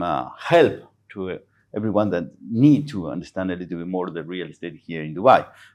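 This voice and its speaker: Against a quiet background, a man with a Spanish accent speaks in a very deep, low pitch. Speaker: real estate agent and former footballer. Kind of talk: casual chat. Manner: halting.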